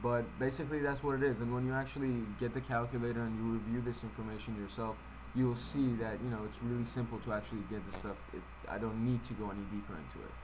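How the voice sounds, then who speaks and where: A man talks at a very fast pace. Noticeable background noise and an audible room echo come through. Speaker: financial presenter. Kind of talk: tutorial.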